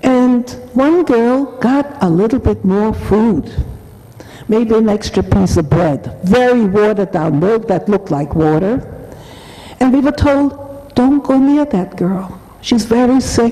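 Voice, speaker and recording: A woman with a German accent speaks at a fairly slow pace with lively intonation. Her loudness stays very even, and there is noticeable background noise. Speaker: Holocaust survivor speaker. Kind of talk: testimony.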